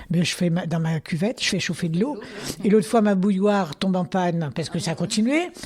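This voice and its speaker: A woman moves at a fairly quick pace, her pitch showing ordinary variation, while noticeable background noise fills the recording. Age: 80s+. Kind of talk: interview answer. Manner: lively, hesitant.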